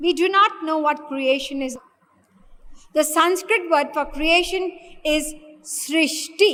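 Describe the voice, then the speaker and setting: An extremely high-pitched woman speaks at a very slow pace with ordinary pitch variation. Her speech has long, frequent pauses. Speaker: spiritual teacher. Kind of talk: lecture.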